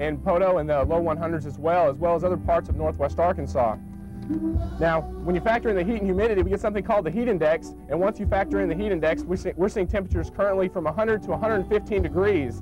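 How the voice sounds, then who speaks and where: With music in the background, a man with an American accent talks at a very fast pace with hardly any pauses. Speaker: TV meteorologist. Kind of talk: live TV weather report. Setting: outdoors.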